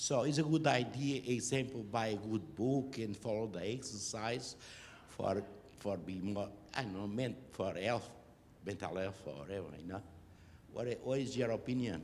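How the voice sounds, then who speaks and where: A man speaks with a Portuguese accent at a moderate pace. His intonation is lively, and the room echo is audible. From Portugal. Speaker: audience member. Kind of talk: audience question.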